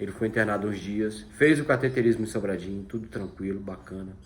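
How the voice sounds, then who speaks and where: A man is speaking. His pace is fairly quick. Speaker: vlogger. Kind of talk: personal testimony. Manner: fast.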